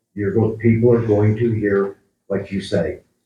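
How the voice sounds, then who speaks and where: This man talks at a fairly slow pace in a fairly low pitch, keeping his intonation fairly even. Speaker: town council member. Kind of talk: town council meeting discussion. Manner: loud.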